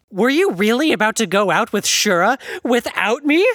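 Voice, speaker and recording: Pitched fairly high, a put-on character voice carries a dramatic tone at a moderate pace. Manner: huffy, dramatic, mocking.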